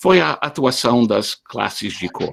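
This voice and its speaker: The speaker is a man with a non-native accent. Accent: foreign accent in Portuguese. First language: not Portuguese (speaking Portuguese). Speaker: history professor. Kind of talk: online lecture. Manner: hesitant, with many fillers and repetitions.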